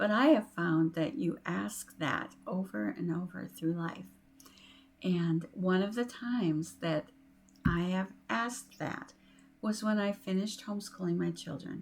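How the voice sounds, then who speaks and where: A woman speaks at a fairly low pitch and a fairly slow pace. Her voice is somewhat breathy, with lively intonation. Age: 60s. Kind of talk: inspirational talk to camera. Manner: warm, encouraging.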